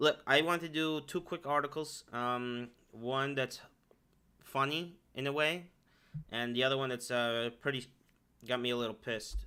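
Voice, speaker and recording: In a very clean recording with a silent background, a man with a bright, sharp tone and medium pitch speaks at a moderate pace with fairly even intonation and long, frequent pauses. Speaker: political podcast host. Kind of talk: casual monologue.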